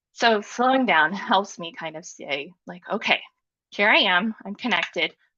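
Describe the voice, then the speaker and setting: With an American accent and a bright, sharp tone, a woman at medium pitch speaks at a moderate pace with very wide pitch swings against a quiet background. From US Midwest. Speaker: design leader and mentor. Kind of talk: conference talk.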